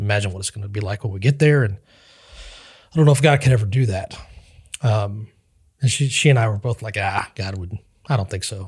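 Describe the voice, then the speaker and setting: Pausing long and often, a man speaks at a fairly quick pace in a somewhat breathy voice with big swings in loudness. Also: ordinary pitch variation, very clean recording, silent background. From Western Kansas. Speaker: pastor. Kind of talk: interview testimony.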